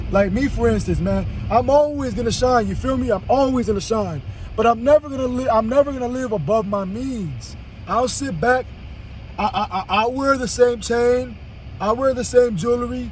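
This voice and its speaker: A man talks at an extremely high pitch, with noticeable noise behind him. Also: ordinary pitch variation. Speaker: vlogger. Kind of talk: casual monologue. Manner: fast; stammering repetitions.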